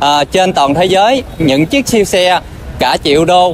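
A man's high-pitched voice with ordinary pitch variation over light background noise. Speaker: travel vlogger. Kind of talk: casual vlog chat. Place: street. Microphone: phone near.

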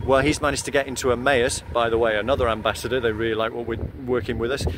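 A man speaks at a very fast pace with fairly even intonation. The sound is dry with no echo, and background noise is noticeable. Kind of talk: casual vlog update. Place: street. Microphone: earbuds.

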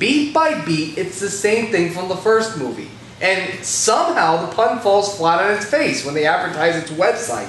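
A man talks at a moderate pace with audible room echo and light background noise. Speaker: movie reviewer. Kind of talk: comedic review commentary.

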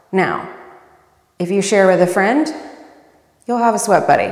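A woman's voice with audible room echo and a quiet background. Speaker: fitness instructor. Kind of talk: workout tutorial intro. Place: home room. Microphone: lapel.

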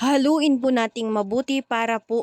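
The sound is close and dry, without echo. A woman speaks fairly slowly. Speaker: cooking vlogger. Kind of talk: voice-over narration. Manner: stumbles over words.

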